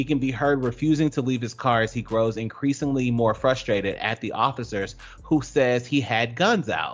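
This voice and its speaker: Hardly pausing, a man with an American accent speaks at a moderate pace in a normal speaking voice. His pitch variation is ordinary. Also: medium pitch for a man. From US South, Georgia. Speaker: radio show co-host. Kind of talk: casual chat.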